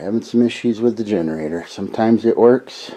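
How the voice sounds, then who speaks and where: The man's pitch is fairly low, with ordinary variation. He talks at a moderate pace. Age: 60s. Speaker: off-grid cabin vlogger. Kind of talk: casual video diary.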